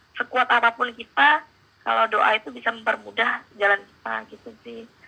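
A woman with a fairly high pitch talks at a moderate pace in a normal speaking voice. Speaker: exchange student and marketing intern. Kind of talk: casual interview.

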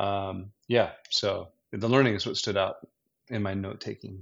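With fairly even intonation, a man speaks in an ordinary speaking voice at a fairly low pitch. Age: 50s. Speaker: business owner. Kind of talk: casual chat.

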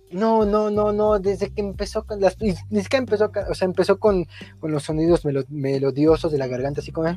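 Music sits in the background as a man with a Mexican accent talks at a fairly quick pace. His high pitch swings very widely. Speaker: podcast co-host, student. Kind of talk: casual chat.

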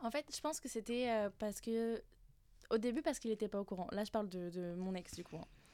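Speaking at a fairly quick pace, a woman has a fairly high pitch, a dark, mellow tone and ordinary pitch variation. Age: 20s. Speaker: internal communications work-study trainee. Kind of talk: casual round-table chat.

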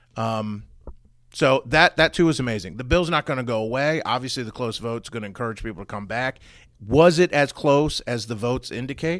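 A man with an ordinary speaking voice and an American accent, lively intonation at a fairly quick pace, in a very clean recording with a silent background. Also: medium pitch for a man. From Maryland (Frederick). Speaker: political talk radio co-host. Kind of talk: casual political talk show chat.

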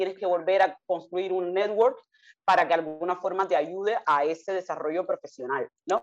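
A woman with an animated tone and a medium pitch. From Cuba, Havana. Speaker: consultant and foundation director. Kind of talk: interview.

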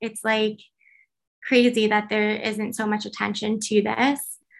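A fairly high-pitched woman at a fairly slow pace in a very clean recording with a silent background. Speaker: graphic designer and campus antisemitism speaker. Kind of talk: interview. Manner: hesitant, many fillers.

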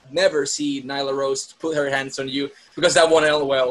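With a Spanish accent, a man speaks at a fairly quick pace over noticeable background noise. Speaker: wrestling podcast host. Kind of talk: interview.

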